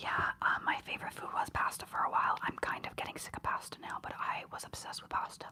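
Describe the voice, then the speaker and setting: A woman whispers at a fairly quick pace, with big swings in loudness. Noticeable background noise sits behind her. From Ontario, Canada. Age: 20s. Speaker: ASMR streamer. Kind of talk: casual live-stream chat. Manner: soft-spoken.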